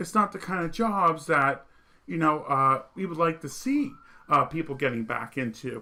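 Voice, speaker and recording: In a slight Vermont accent, a man with a high pitch talks with lively intonation and a bright, sharp tone. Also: moderate pace. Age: 30s. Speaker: political commentary streamer. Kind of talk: monologue commentary.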